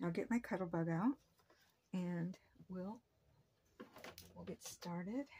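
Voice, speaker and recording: Soft-spoken, a woman talks at a fairly slow pace and medium pitch, with ordinary pitch variation, long, frequent pauses and big swings in loudness. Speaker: papercraft channel host. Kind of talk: tutorial. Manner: casual, hesitant with fillers.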